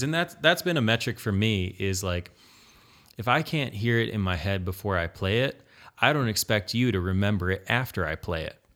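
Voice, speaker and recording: An unremarkable speaking voice from a man, fairly low in pitch, at a moderate pace with lively intonation, on a very clean recording with a silent background. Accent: American. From Michigan, Allegan County. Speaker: guitarist and web developer. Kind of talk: casual chat.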